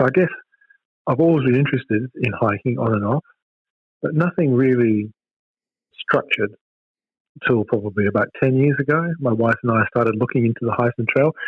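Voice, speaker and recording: A man with an Australian accent, medium in pitch, with ordinary pitch variation and long, frequent pauses. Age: 60s. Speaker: hiking club president. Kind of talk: interview.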